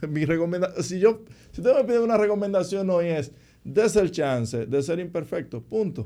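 A man's high pitch, dark, mellow tone and lively intonation at a moderate pace. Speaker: political commentator. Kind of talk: casual interview.

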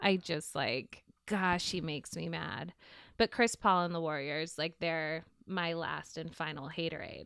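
An ordinary speaking voice with ordinary pitch variation moves at a fairly slow pace over a very clean recording with a silent background. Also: woman, fairly low pitch for a woman. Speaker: podcast co-host. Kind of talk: casual chat.

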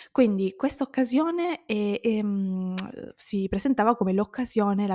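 A woman's medium-pitched, plain, everyday voice with ordinary pitch variation at a fairly slow pace, dry and close with no echo on a very clean recording with a silent background. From Sicily, Modica. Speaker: language teacher, podcaster. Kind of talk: solo podcast monologue.

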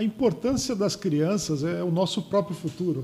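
The man's voice is high in pitch and his intonation lively. He talks at a moderate pace. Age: old. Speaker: engineer and local historian. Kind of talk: panel interview. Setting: studio.

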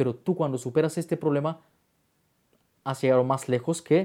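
A man with a dark, mellow tone and a fairly high pitch for a man talks at a moderate pace with ordinary pitch variation. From Bulgaria. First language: Bulgarian (speaking Spanish). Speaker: wedding photographer and YouTuber. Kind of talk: interview conversation.

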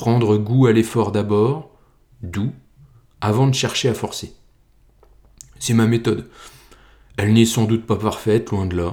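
A man's dark, mellow, somewhat breathy voice keeps a fairly even intonation, broken by long, frequent pauses. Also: medium pitch for a man, fairly slow pace. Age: 30s. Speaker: podcast host, amateur trail runner. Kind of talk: personal narrative, scripted.

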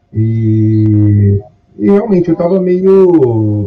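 A man's medium-pitched voice with lively intonation, music in the background. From Brazil, São Paulo city. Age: 30s. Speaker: course student sharing experience. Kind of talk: interview.

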